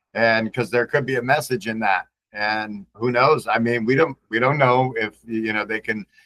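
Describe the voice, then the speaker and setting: Speaking at a moderate pace, a man has a medium pitch and a bright, sharp tone, with a dry, close sound and no echo. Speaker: podcast host. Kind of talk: casual chat.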